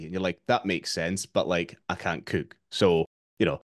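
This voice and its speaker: Fairly quick speech in a Scottish accent, over a quiet background, with a dry sound and no echo. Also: man. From Scotland. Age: 30s. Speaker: fitness coach. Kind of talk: interview. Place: home room.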